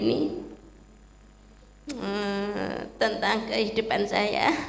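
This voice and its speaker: A woman speaks at medium pitch and a very slow pace. The room echo is audible, and background noise is noticeable. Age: 60s. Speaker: church member. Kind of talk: testimony.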